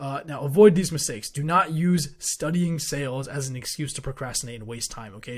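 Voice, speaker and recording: A man is speaking. His voice is somewhat breathy. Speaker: online business coach. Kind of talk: tutorial.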